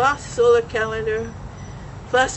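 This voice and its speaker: Noticeable background noise is present throughout. A woman talks in a fairly high voice. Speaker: speaker on Hawaiian history and astronomy. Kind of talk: forum talk with audience discussion. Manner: animated.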